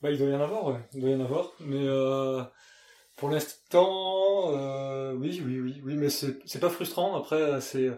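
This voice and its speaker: Very slowly, a man with a slight southwestern French accent speaks in a fairly high, dark and mellow voice with ordinary pitch variation. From Gers, southwest France. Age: 30s. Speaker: fashion brand co-founder. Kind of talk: casual interview. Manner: hesitant, many fillers and repeats.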